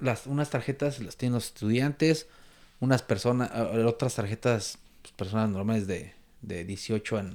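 A medium-pitched man in a Mexico City accent, fairly slow with ordinary pitch variation, in a very clean recording with a silent background. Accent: Mexico City Spanish (chilango). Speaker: Facebook group moderator. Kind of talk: casual chat.

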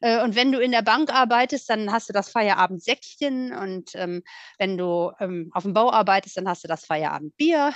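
An unremarkable speaking voice from a woman, fairly high in pitch, with lively intonation at a moderate pace. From Rhineland, western Germany (Voreifel near Bonn). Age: 40s. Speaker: guest sharing recovery story. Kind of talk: testimony.

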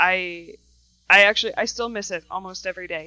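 Bright and sharp in tone, a woman with an American accent uses ordinary pitch variation against a quiet background. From Wisconsin, New Glarus. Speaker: welding and metal fabrication instructor. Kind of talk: casual interview.

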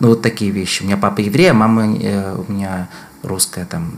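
Noticeable background noise surrounds a man with a fairly low pitch. He speaks at a fairly quick pace in a monotone, flat intonation. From Moscow, Russia. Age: 40s. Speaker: researcher and public health activist. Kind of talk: casual interview conversation. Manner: thoughtful, hesitant with fillers.

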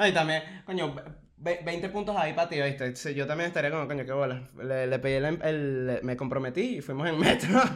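Someone speaks at a moderate pace with a Caracas accent and ordinary pitch variation. Noticeable background noise is present. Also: man, fairly high pitch for a man. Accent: Venezuelan Spanish (Caracas). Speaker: podcast co-host. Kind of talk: casual chat.

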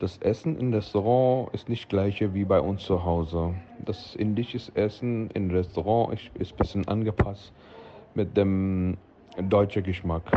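This man has a fairly low pitch. He speaks at a fairly slow pace with fairly even intonation. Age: 40s. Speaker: restaurant owner. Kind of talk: interview. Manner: halting.

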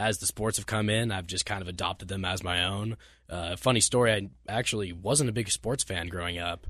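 A man with an American accent speaks in a normal speaking voice at a fairly low pitch, with ordinary pitch variation and a quiet background. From Las Vegas, Nevada. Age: 20s. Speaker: radio intern. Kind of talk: casual chat.

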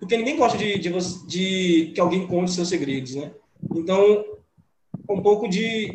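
There is audible room echo around this man. He speaks with a high pitch. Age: 20s. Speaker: art teacher and student. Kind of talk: casual chat. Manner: stammering.

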